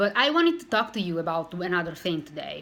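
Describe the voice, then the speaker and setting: A woman with a non-native accent speaks in a fairly low pitch. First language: not English. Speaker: weight loss vlogger. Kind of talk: casual vlog monologue. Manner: halting, with self-corrections.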